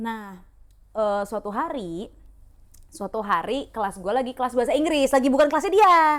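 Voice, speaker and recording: Lively intonation carries the speech along at a moderate pace. The recording is very clean, with a silent background. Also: woman. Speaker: podcast co-host. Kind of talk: casual chat, storytelling. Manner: loud; animated.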